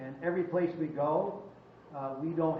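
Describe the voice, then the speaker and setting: In a room with audible echo and noticeable background noise, a man speaks with a fairly high pitch and fairly even intonation. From Cape Breton, Nova Scotia. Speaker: town hall organizer. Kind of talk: public town hall talk. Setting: fire hall meeting with audience.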